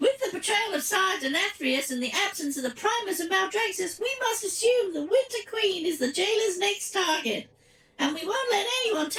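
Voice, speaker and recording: Extremely high-pitched put-on character voice. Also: moderate pace. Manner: dramatic, grave.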